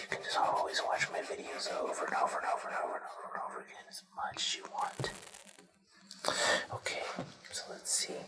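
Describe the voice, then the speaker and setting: Whispering with long, frequent pauses, a man is heard over noticeable background noise. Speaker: ASMR creator. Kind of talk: ASMR coloring talk to camera. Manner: soft-spoken, whispered.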